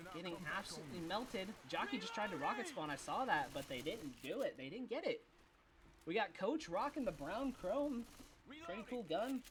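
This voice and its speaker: A man's high-pitched voice with very wide pitch swings at a moderate pace, over noticeable background noise. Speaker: esports caster. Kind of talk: live commentary. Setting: live stream. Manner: animated.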